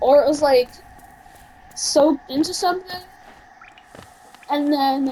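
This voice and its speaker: A woman speaking at a fairly slow pace, with ordinary pitch variation and noticeable background noise. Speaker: gaming video creator. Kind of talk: gameplay commentary. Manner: casual, filler-heavy; halting, self-admitted stutter.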